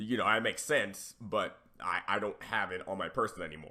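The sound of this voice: A raspy voice with a bright, sharp tone, ordinary pitch variation and a moderate pace. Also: man, low pitch for a man.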